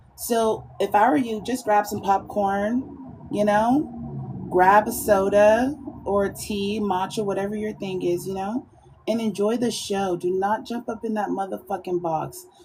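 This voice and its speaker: A woman speaks at a medium pitch in an animated tone, at a fairly slow pace. Noticeable background noise sits behind her. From Georgia, US. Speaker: live streamer. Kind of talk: casual live-stream monologue.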